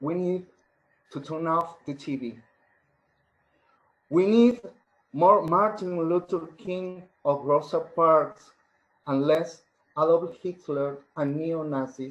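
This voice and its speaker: Using a Spanish accent, a man with a fairly high pitch speaks at a very slow pace with long, frequent pauses and ordinary pitch variation. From Argentina. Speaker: poet. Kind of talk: poetry reading.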